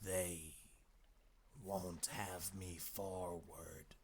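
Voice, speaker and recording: Over clear background noise, a man in a put-on character voice speaks with a hoarse, raspy, very deep and low pitch and monotone, flat intonation. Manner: slow, fearful.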